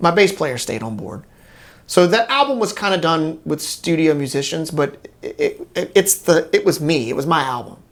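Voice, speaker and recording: A man's high voice with a Louisiana accent, at a moderate pace and with very wide pitch swings. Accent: Southern US, Louisiana. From Bunkie, Louisiana. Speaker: guitarist and singer. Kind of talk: interview answer.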